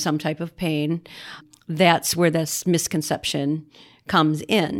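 In a very clean recording with a silent background, a woman speaks in a normal speaking voice at a fairly low pitch, at a fairly slow pace and with fairly even intonation. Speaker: podcast co-host, suicide loss survivor. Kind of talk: casual interview.

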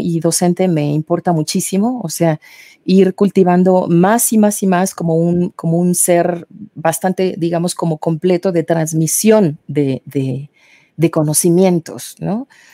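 At a fairly slow pace, a woman speaks with fairly low pitch, a dark, mellow tone and ordinary pitch variation, the sound dry and close with no echo. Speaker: soprano singer. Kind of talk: interview.

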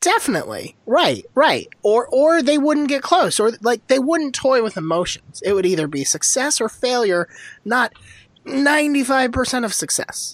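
This woman speaks in a high voice with an animated tone. Her pitch swings very widely. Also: moderate pace. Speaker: podcast host. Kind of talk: casual sports banter podcast. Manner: sarcastic, animated.

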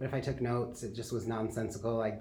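With an American accent, a man talks at a fairly quick pace in a medium pitch, with audible room echo around him. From Michigan (Kalamazoo). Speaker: social media coordinator and design lecturer. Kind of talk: interview.

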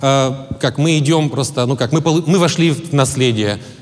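A man with a fairly high pitch talks at a moderate pace with ordinary pitch variation. The recording carries audible room echo and noticeable background noise. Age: 40s. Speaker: pastor. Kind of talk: sermon.

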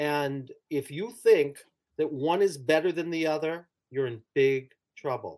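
On a very clean recording with a silent background, a man with a fairly high pitch and ordinary pitch variation uses a plain, everyday voice. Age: 60s. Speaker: clinical psychologist and author. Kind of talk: interview about his book.

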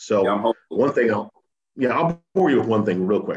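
In an American accent, a man with a fairly low pitch and an unremarkable speaking voice talks at a fairly quick pace. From New England (Simsbury, Connecticut). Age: 50s. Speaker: TV sports anchor. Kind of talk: casual interview.

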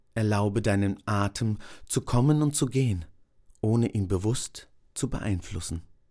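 A man with a fairly low pitch and a dark, mellow, calm, soothing tone speaks at a fairly slow pace with ordinary pitch variation and long, frequent pauses, on a very clean recording with a silent background. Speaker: meditation guide. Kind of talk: guided meditation, body scan. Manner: slow, calm, soothing with long pauses; soft-spoken, gentle.

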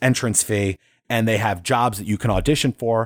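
A man speaks in an unremarkable speaking voice at a medium pitch. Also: dry, close sound with no echo, very clean recording, silent background. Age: 30s. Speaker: podcast host and voice actor. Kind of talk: solo podcast monologue.

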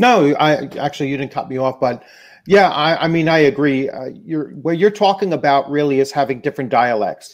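A man talks at a fairly quick pace. His voice is fairly high-pitched, with ordinary pitch variation. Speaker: YouTuber, tabletop games. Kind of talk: casual chat. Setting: video call. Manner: halting.

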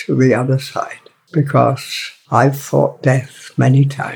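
This man has a northern English accent and talks at a fairly slow pace. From northern England. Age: 90s. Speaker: author. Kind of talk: reading aloud. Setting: pub.

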